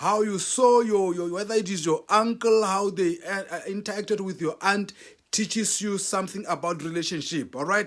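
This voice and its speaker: A man speaks at a high pitch with fairly even intonation on a very clean recording with a silent background. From South Africa. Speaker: relationship talk show host. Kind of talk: motivational talk. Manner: emphatic, repeats key points.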